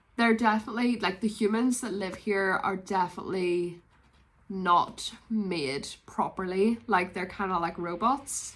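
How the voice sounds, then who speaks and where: In a Northern Irish accent, a woman of medium pitch speaks at a moderate pace with a bright, sharp tone and ordinary pitch variation. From Northern Ireland, Belfast. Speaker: book vlogger. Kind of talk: casual vlog chat.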